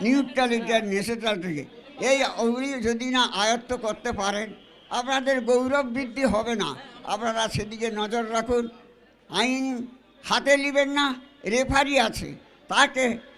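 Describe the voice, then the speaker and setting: Under noticeable background noise, a man speaks at an extremely high pitch. His intonation stays fairly even. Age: 90s. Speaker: elderly guest speaker. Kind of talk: public speech. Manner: halting.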